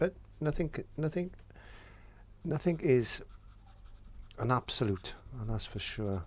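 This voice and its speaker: A man speaks fairly slowly at a fairly high pitch, somewhat breathy, with long, frequent pauses. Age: 60s. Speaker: painting tutor and window cleaner. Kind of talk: painting tutorial chat. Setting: studio. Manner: halting.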